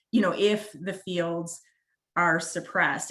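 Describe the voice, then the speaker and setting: A woman with a Wisconsin accent at a moderate pace. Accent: northern US (Wisconsin). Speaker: prosecutor. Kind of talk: webinar presentation. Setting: online webinar.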